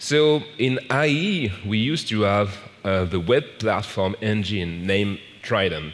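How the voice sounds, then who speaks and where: A man speaks at a fairly low pitch with lively intonation. Audible room echo and noticeable background noise surround his voice. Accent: French. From France. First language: French. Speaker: software program manager, conference speaker. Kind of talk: conference talk. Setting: stage with audience. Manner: slow.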